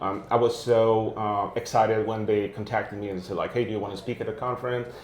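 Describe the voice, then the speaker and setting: A man at a very fast pace, medium-pitched and monotone with flat intonation, over noticeable background noise and audible room echo. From Quebec. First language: French. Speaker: tech video series host, developer relations manager. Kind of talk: casual interview chat. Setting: at a tech conference, imperfect setup. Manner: hesitant, many filler uhs.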